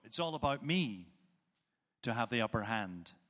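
A man speaks at a fairly slow pace with a Northern Irish accent and a bright, sharp tone. The recording is very clean, with a silent background. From Northern Ireland.

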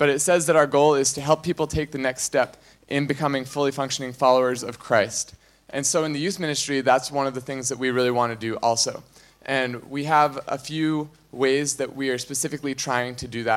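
A man's fairly high voice, a plain, everyday voice, at a fairly quick pace with fairly even intonation. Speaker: youth ministry coordinator. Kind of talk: church announcement talk. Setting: church.

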